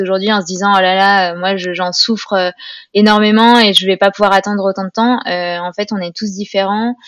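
The delivery is monotone and flat, at a moderate pace, with a dry, close sound and no echo. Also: woman. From France, Grenoble. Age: 30s. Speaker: naturopathy student and communications freelancer. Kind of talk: testimony. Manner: hesitant with fillers.

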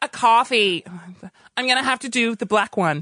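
A man's raised, projected voice sits at an extremely high pitch, with a bright, sharp tone and a fairly quick pace. The sound is dry and close with no echo, over a quiet background. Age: 30s. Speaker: radio producer and comedian. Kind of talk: casual chat. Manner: animated.

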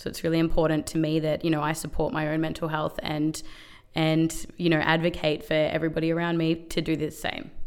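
A woman with an Australian accent speaks at a fairly quick pace in a very deep, low voice with monotone, flat intonation. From Melbourne, Australia. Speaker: workplace wellbeing advocate. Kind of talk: interview.

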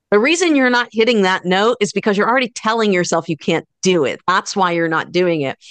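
In a plain, everyday voice, a woman talks at a fairly quick pace with hardly any pauses, medium pitch and lively intonation, recorded with dry, close sound with no echo against a quiet background. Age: 40s. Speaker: guitar instructor and entrepreneur. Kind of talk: interview conversation. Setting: video call.

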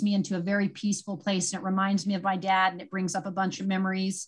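A woman's voice, somewhat breathy, with an American accent. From California, Santa Cruz. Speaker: endurance athlete and blogger. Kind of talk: casual interview chat.

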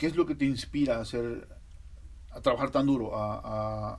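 A man talks at a moderate pace. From Mexico, Veracruz. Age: 40s. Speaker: podcast host. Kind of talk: casual interview.

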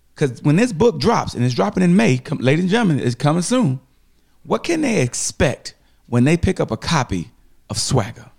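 Fairly high and somewhat breathy, a man's voice moves at a fairly quick pace with very wide pitch swings and very even loudness, in a dry, close sound with no echo. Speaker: podcast host. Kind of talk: casual interview.

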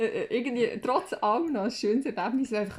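A woman with a Swiss accent, animated in tone, with lively intonation at a moderate pace. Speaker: podcast co-host. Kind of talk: casual chat.

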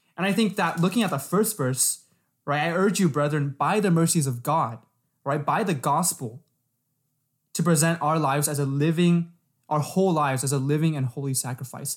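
In a very clean recording with a silent background, a man with an American accent speaks somewhat breathily at a moderate pace with ordinary pitch variation. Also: fairly high pitch for a man. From San Diego, California. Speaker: podcast co-host, college student. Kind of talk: casual religious discussion.

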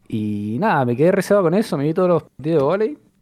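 A man speaks fairly quickly with a Rioplatense accent and a dark, mellow tone. The background is quiet. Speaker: podcast co-host. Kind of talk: casual chat.

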